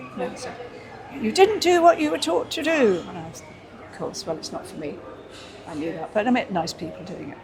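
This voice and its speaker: Speaking at a fairly quick pace, a woman with a fairly high voice makes very wide pitch swings and big swings in loudness, leaving long, frequent pauses. Audible room echo and noticeable background noise are present. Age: 80s+. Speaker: entertainer and dancer. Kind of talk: interview. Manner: halting.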